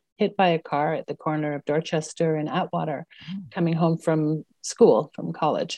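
A woman's very deep, low voice with a dark, mellow tone, ordinary pitch variation and a Montreal accent, in a dry, close sound with no echo. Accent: Montreal anglophone Canadian English. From Quebec, Montreal. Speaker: city councillor. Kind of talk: casual interview.

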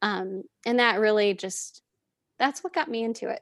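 On a very clean recording with a silent background, a woman speaks at a fairly high pitch and a moderate pace. The sound is dry and close with no echo, and her pitch varies in an ordinary way. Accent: American. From Southern California. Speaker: learning and development professional. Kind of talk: casual chat. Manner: animated.

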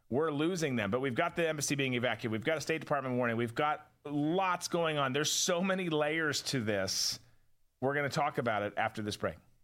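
With a normal speaking voice, a man talks at a fairly quick pace, his fairly high pitch showing ordinary pitch variation. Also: very clean recording, silent background. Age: 40s. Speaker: podcast host and former counterterrorism officer. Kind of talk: casual political commentary show. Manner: conversational, with frequent repetitions and stumbles.

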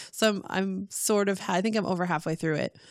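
A woman with an ordinary speaking voice talks at a fairly quick pace. Her pitch is medium and her intonation fairly even. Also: dry, close sound with no echo, very clean recording, silent background. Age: 30s. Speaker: podcast guest, mother and geek. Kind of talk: casual chat.

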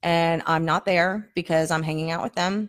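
With an American accent, a woman talks in an unremarkable speaking voice with fairly even intonation, on a very clean recording against a silent background. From New Jersey. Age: 40s. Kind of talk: testimony.

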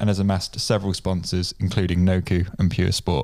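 A man with a plain, everyday voice talks at a fairly quick pace and fairly low pitch. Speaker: podcast host. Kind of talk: casual interview.

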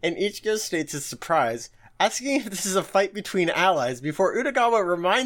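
The plain reading aloud has lively intonation.

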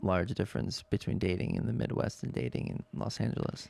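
There is vocal fry in this man's voice. He speaks at a fairly quick pace. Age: 20s. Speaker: podcast host. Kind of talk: casual chat. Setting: studio.

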